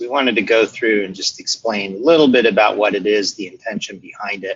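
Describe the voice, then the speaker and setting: A man with an ordinary speaking voice talks at medium pitch and a fairly quick pace. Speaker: product management head. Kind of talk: webinar presentation. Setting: online webinar. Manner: many filler words (uh).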